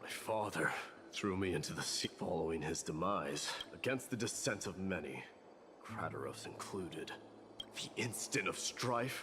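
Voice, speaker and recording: Over clear background noise, a man puts on a character voice, very deep and low, delivered at a moderate pace. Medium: video game. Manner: serious, stern.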